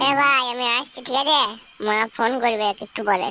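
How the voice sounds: A cartoonish character voice, female-sounding and fairly high in pitch. It moves along at a moderate pace.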